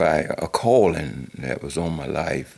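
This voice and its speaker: This man's voice has vocal fry. His intonation is lively. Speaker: pastor. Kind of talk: personal life story.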